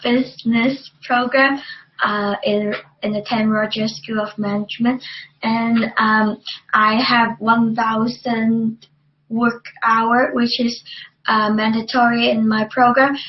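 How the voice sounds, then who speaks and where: A woman with a Chinese accent, fairly high-pitched, monotone and flat, at a very slow pace. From China. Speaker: university student. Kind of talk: student testimonial presentation. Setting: webcast. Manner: halting, many fillers.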